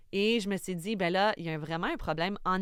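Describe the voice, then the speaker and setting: A woman speaks with fairly even intonation. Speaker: film director. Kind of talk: casual chat. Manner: halting, many fillers.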